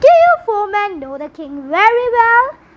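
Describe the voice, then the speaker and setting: A woman's squeaky, put-on character voice at an extremely high pitch, with very wide pitch swings and a moderate pace. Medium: read story. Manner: calm, composed.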